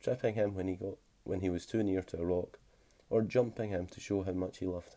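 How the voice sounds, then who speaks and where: A man speaks in a Scottish accent with a very deep, low pitch. His tone is dark and mellow, and his pace is fairly quick. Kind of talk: short story reading. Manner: whispered; relaxing, soft-spoken.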